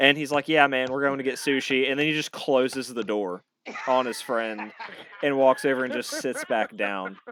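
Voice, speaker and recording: A man speaks with a Southern East Coast accent. His pace is moderate. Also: medium pitch for a man, ordinary pitch variation. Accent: mild Southern East Coast. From North Carolina. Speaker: podcast host, military veteran. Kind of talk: casual chat. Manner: animated.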